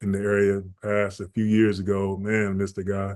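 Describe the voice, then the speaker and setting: The speaker has a Georgia accent and a moderate pace. The background is quiet. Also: man. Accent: Southern US (Georgia). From US South, Augusta, Georgia. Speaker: basketball and fitness trainer. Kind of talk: podcast interview, casual life story.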